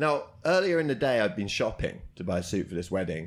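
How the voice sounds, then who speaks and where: A man's voice in a British accent, with very wide pitch swings. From Britain. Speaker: comedian and comedy promoter. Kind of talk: casual interview chat. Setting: karaoke box.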